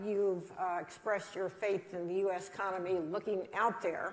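The speech is a normal speaking voice moving at a moderate pace. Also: woman. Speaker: interviewer. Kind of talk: interview.

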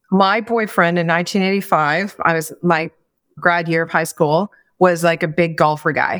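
A woman with an unremarkable speaking voice talks at a fairly slow pace, her fairly low pitch held in fairly even intonation. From Atlantic Canada, Maritimes. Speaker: business consultant and former CEO. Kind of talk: interview conversation.

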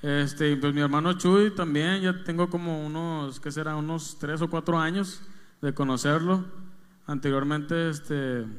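An ordinary speaking voice from a man, fairly high in pitch, at a fairly slow pace with fairly even intonation. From Mexico, Monterrey. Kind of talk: interview conversation.

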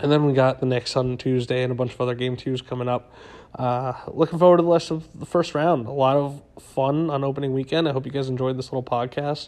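A man races along at a very fast pace with fairly even intonation. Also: medium pitch for a man. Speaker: sports podcast host. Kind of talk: solo sports commentary podcast. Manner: casual, many fillers.

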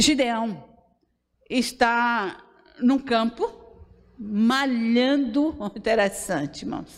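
The woman's pitch is fairly high. Her intonation is lively. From Brazil, Bahia interior. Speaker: pastor. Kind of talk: sermon.

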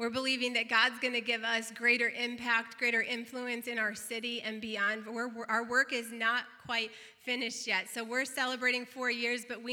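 A warm, upbeat tone comes through over noticeable background noise. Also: woman. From northeastern Illinois / southeastern Wisconsin, US. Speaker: pastor. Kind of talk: celebratory church announcement.

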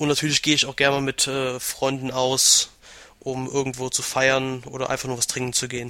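A man talks at a fairly quick pace with monotone, flat intonation. Noticeable background noise runs underneath. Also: medium pitch for a man. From western Germany, Aachen. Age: 20s. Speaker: gaming website administrator. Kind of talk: casual interview.

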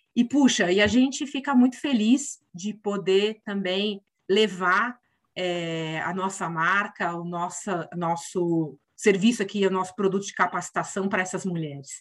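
A woman speaks at a fairly slow pace in a plain, everyday voice, her pitch medium and its variation ordinary. Her loudness swings widely. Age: 50s. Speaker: corporate representative. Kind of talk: interview.

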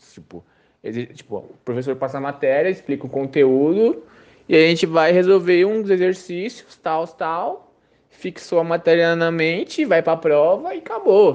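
This man's high voice, with ordinary pitch variation, swings widely in loudness as he talks at a fairly slow pace. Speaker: university student. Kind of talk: testimony.

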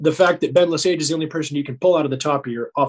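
In a dry, close sound with no echo, a man with an American accent speaks at a very fast pace in a fairly high, somewhat breathy voice. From US West, northeastern Nevada. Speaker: university rugby head coach. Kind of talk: casual chat.

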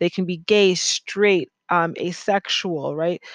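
A woman with an American accent speaks at a medium pitch with fairly even intonation. Hers is a plain, everyday voice. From United States. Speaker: podcast host and art writer. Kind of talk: solo monologue podcast. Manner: casual and conversational.

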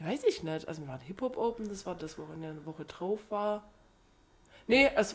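This woman talks fairly quickly at a medium pitch, with long, frequent pauses. Her pitch swings very widely and her loudness rises and falls sharply. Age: 30s. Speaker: podcast co-host. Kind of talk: casual chat.

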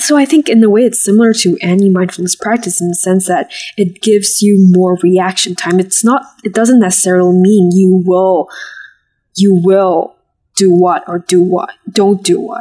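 A woman speaks at a moderate pace with a medium pitch and fairly even intonation. Her tone is dark and mellow. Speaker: college student.

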